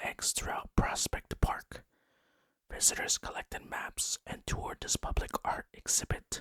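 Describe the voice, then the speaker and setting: Whispering in a calm tone, the speaker goes at a fairly slow pace. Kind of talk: ASMR-style narration of holiday facts, relaxed whisper-tingle video. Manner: soft, whispery, calm.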